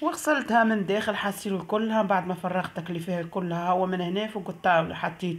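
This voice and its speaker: In a Tunisian accent, a woman talks at a fairly quick pace with hardly any pauses. Her pitch is medium and varies in an ordinary way. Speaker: vlogger. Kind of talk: casual vlog narration.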